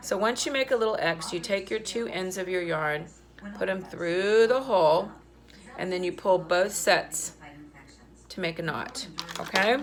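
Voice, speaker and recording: A woman speaks at a moderate pace in a medium pitch with ordinary pitch variation. Her long, frequent pauses sit over noticeable background noise. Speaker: art teacher. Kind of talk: tutorial.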